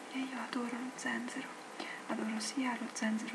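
A soft-spoken woman whispers at a moderate pace against loud background noise. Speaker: ASMR creator. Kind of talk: ASMR tea review talking to camera. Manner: whispered, soft-spoken. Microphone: webcam.

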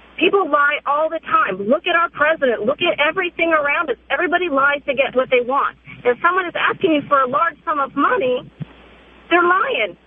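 Over noticeable background noise, someone speaks at a fairly quick pace, with an animated tone and lively intonation. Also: woman, high pitch for a woman. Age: 30s. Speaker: caller. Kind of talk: radio call-in. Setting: phone call.

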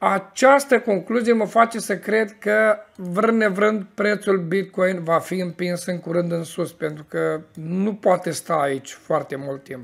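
A man's high-pitched voice at a very slow pace, with ordinary pitch variation over a quiet background. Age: 40s. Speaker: crypto market commentator. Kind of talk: market analysis monologue. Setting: office. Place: home room.

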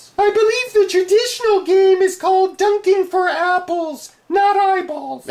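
Someone performs a put-on character voice at a moderate pace with hardly any pauses. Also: female-sounding voice, extremely high pitch for a woman. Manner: sarcastic, dry.

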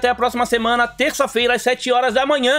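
With faint music in the background, a man talks at a fairly quick pace in an extremely high pitch. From Brazil. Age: 40s. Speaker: gaming YouTuber. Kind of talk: video commentary on game deals. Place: home room.

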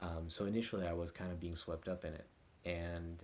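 Over light background noise, a man talks at a fairly quick pace with a very deep, low pitch. His voice is somewhat breathy and monotone, with flat intonation. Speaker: vlogger. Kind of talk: casual vlog chat. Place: home room. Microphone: phone near.

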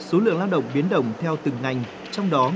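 The speech moves at a fairly slow pace with lively intonation. Noticeable background noise can be heard. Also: man. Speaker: news reporter. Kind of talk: news reading.

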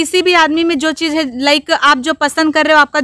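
A woman projects a raised voice with a bright, sharp tone, holding a monotone, flat intonation. The sound is dry with no echo, over a quiet background. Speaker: interviewee, comedy performer. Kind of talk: interview answer. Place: open country. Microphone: handheld.

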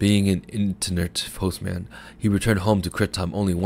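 Someone reads aloud plainly in this clip.

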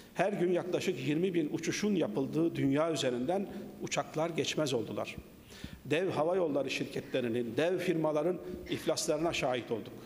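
Over light background noise, a man talks at a moderate pace with very even loudness and ordinary pitch variation. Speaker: speaker. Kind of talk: formal speech. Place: hall. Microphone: podium.

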